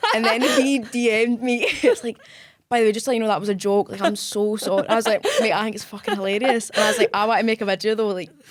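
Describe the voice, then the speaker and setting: Speaking at a very fast pace, a woman with a fairly high pitch keeps her intonation fairly even over noticeable background noise. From Scotland. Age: 20s. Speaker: cosplay content creator. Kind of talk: interview answer.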